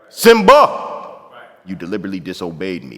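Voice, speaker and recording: A man uses a put-on character voice that is booming. He talks at a moderate pace. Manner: booming, authoritative.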